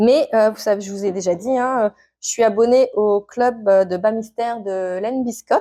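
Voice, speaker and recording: Her tone is dark and mellow. The woman's pitch sits fairly high. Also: quiet background. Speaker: knitting and sewing vlogger. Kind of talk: casual vlog. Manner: hesitant, many fillers.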